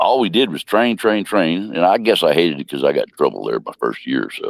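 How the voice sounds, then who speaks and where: Here a man talks at a very fast pace with an American accent. The sound is dry and close, with no echo. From Missouri, St. Louis area. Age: 70s. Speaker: war veteran. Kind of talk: interview.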